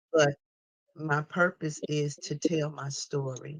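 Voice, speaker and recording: A man speaks in a fairly high pitch with a somewhat breathy quality. His intonation stays monotone and flat. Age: 60s. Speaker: author. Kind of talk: testimony. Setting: phone call.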